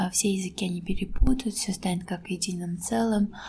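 A woman speaks with a somewhat breathy, dark, mellow tone. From Azerbaijan. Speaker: teacher and author. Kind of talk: casual interview conversation. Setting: public place.

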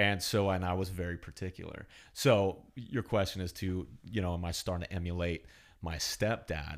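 A man with a Californian accent, very deep and low in pitch, fairly even intonation and a moderate pace. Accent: Californian American English. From US West Coast, California Central Coast. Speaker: podcast guest, host's childhood friend. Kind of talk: casual chat.

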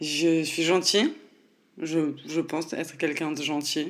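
Her pitch very deep and low, a woman speaks at a very slow pace with fairly even intonation. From France, Nancy. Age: 20s. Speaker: podcast host. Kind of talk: casual monologue. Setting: home recording at computer.

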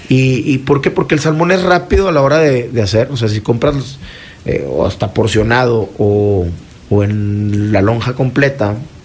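Through noticeable background noise, a man speaks at a fairly slow pace with medium pitch and lively intonation. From Mexico, Torreón (Coahuila). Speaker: chef. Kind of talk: radio interview. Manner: halting, many fillers.

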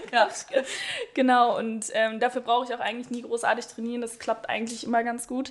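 Monotone and flat, a woman with a high pitch speaks at a fairly quick pace amid noticeable background noise. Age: 20s. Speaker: speech therapist. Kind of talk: casual chat. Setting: studio.

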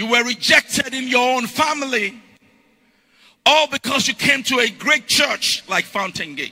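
In a raised, projected voice at extremely high pitch, a man speaks at a fairly slow pace. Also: ordinary pitch variation. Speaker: pastor. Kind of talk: rousing call-and-response sermon, congregation shouting back. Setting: church with live congregation. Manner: loud, repetitive exhortation, hammering phrases over and over; rhythmic escalating cadence, breathless run-on climaxes.

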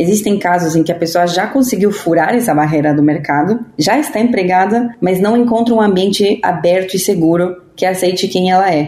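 A woman's medium-pitched voice at a moderate pace, with ordinary pitch variation, very even loudness and hardly any pauses. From Argentina. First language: Spanish (speaking Portuguese). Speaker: podcast host. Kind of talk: scripted narration.

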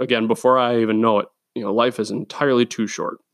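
A man's medium-pitched voice at a moderate pace in a very clean recording with a silent background. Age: 20s. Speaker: podcast host. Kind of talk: casual monologue.

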